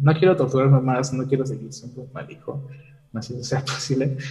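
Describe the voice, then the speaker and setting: A man talks at a very fast pace with vocal fry and a dark, mellow tone. Audible room echo surrounds the voice. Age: 20s. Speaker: engineering student calling in for advice. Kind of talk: personal confession seeking advice. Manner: halting.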